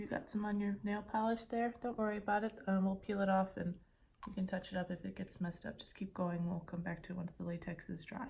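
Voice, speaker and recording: In a plain, everyday voice, a woman talks at a medium pitch. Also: fairly even intonation, fairly quick pace. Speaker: ASMR creator. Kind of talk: ASMR nail stamping tutorial roleplay. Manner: calm, teacherly.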